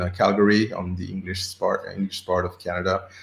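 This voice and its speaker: A man delivers his words at a fairly quick pace in a flat monotone. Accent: slight French. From Senegal. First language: French. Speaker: agile coach. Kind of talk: interview. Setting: live stream. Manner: halting, with repeated words.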